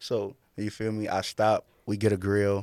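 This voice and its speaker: On a very clean recording with a silent background, a man's fairly low voice sounds dry and close with no echo. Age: 30s. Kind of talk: casual chat.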